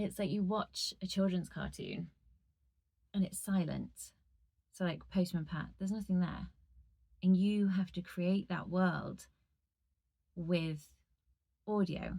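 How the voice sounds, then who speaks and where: Long, frequent pauses break up this woman's very slow speech. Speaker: audiobook narrator. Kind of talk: casual talk to camera. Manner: chatty.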